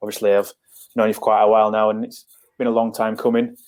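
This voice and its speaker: Rattling along at a very fast pace, a man with a northern English accent speaks in a fairly low, monotone, flat voice. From northern England, near Leeds. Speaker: football scout. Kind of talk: podcast interview.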